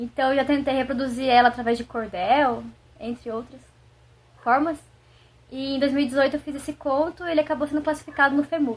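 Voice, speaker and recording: A woman's high voice, fairly quick in pace, broken by long, frequent pauses. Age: 20s. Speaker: writer. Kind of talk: casual introduction; reading aloud.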